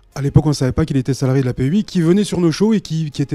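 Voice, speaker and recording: With music in the background, a man with a southern French accent and a fairly high pitch is heard in a dry, close sound with no echo. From southern France, Carcassonne. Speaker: wrestling association manager. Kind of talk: TV interview.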